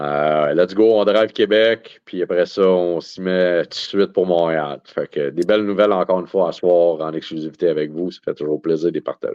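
Talking at a moderate pace with hardly any pauses, a man with a very deep, low pitch keeps fairly even intonation while his loudness swings widely. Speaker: card show organizer. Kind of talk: casual chat.

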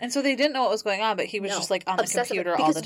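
Over noticeable background noise, a woman with a fairly high pitch speaks at a very fast pace. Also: ordinary pitch variation. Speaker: podcast co-host. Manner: casual, conversational, reactive.

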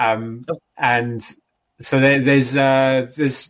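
A man with an English accent at a very slow pace, with fairly even intonation. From England, London area. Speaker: comic book writer. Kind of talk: casual interview. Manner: halting.

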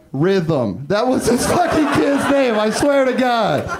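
Over noticeable background noise, a man with an American accent speaks at a very slow pace with very wide pitch swings. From Northern California, Humboldt County. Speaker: stand-up comedian. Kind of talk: stand-up. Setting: stage with audience.

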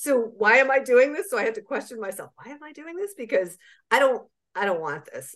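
Very wide pitch swings from a woman moving at a fairly quick pace. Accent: American. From US Southeast. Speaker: parent activist. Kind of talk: personal testimony.

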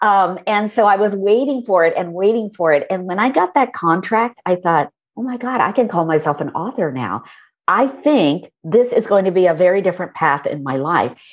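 A woman in an American accent speaks in a plain, everyday voice at a medium pitch and moderate pace, with lively intonation. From India, then US. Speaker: author. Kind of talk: casual interview.

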